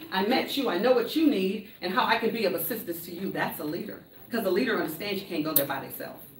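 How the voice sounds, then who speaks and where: A woman speaks at a very fast pace in an animated tone with lively intonation and a medium pitch, with audible room echo and noticeable background noise. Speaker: motivational speaker. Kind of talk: conference talk. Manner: loud.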